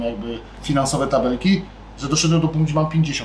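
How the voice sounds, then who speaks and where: With noticeable background noise and audible room echo, a man talks at a very fast pace, his fairly high pitch held to fairly even intonation. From Poland. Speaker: sushi restaurant owner and chef. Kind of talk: casual interview. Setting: in his restaurant.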